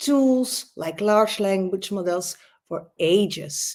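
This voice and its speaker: Lively intonation and a dark, mellow tone with a Dutch accent. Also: woman. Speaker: learning expert and author. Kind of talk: conference talk. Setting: online conference. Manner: animated.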